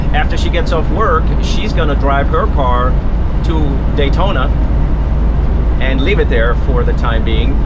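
A man's voice over loud background noise. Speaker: RV vlogger driving. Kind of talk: casual vlog chat. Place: car. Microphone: phone near.

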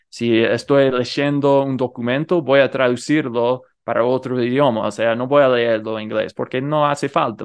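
A man speaks with a non-native accent and fairly even intonation. The background is quiet. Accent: non-native Rioplatense Spanish. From United States. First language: English (speaking Spanish). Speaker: polyglot youtuber. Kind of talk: interview.

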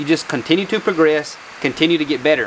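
Light background noise sits behind a man who speaks very fast. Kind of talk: casual vlog chat. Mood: reflective, earnest. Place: garage. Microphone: lapel.

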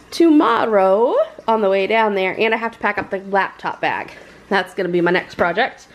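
Here is a woman with a plain, everyday voice. Her medium pitch moves with lively intonation. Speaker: family vlogger. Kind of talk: casual vlog chat. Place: home room. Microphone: phone near.

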